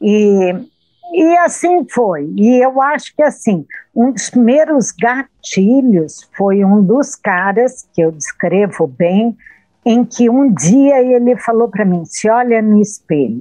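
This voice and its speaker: A woman talks very slowly at a fairly high pitch, her voice swinging very widely up and down. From Brazil, interior of São Paulo state (Jundiaí). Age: 60s. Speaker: author. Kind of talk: interview.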